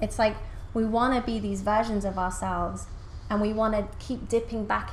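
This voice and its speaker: A woman with a fairly high pitch and vocal fry talks in a room with audible echo. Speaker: spiritual coach and channel. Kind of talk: interview conversation. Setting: podcast interview. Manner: fast; animated.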